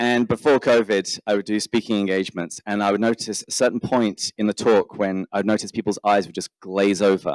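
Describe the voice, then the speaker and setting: A man with an English accent speaks at a fairly quick pace and a fairly low pitch. His intonation stays fairly even on a very clean recording with a silent background. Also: dry, close sound with no echo. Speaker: podcaster. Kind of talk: conference talk.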